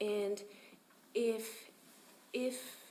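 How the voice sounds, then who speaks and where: Noticeable background noise sits under a woman's fairly high, monotone, flat voice. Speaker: public commenter, property manager. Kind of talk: public comment at meeting. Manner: loud.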